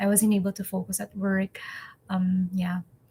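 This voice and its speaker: Somewhat breathy, a woman with a medium pitch speaks at a fairly slow pace. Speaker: English teacher and vlogger. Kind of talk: personal vlog. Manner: halting.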